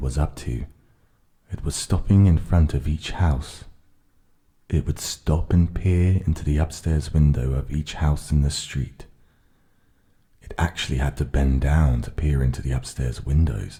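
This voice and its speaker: A man speaks calmly in a very deep, low voice, with a dark, mellow tone and a somewhat breathy quality. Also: ordinary pitch variation. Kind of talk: ASMR audiobook reading of a children's story, relaxing. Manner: calm, soft, relaxing.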